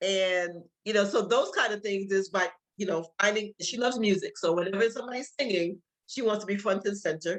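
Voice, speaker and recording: A woman at medium pitch, with ordinary pitch variation. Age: 60s. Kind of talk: masterclass presentation. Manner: halting, many fillers and repeats.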